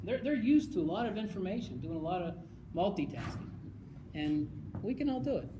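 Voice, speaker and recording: Fairly quick pace broken by long, frequent pauses, against noticeable background noise. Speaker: conference presenter. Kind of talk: presentation. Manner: fast; animated.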